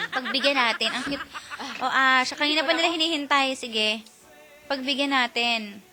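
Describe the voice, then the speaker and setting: Over music in the background, a woman projects a raised, high-pitched voice at a moderate pace, with ordinary pitch variation. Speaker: radio DJ. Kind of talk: live radio banter.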